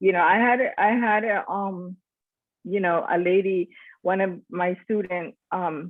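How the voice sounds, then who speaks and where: A woman with a Nicaraguan Caribbean accent. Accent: Caribbean Nicaraguan accent, kept on purpose. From Nicaragua, Corn Island (Caribbean coast). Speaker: school teacher, church member. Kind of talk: casual discussion, personal testimony. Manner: hesitant, many fillers.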